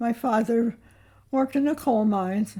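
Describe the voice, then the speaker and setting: Over a very clean recording with a silent background, a woman with a high pitch and a dark, mellow tone speaks at a moderate pace with fairly even intonation. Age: 80s+. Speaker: retired farm-raised grandmother. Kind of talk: interview answer. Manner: reminiscing, hesitant.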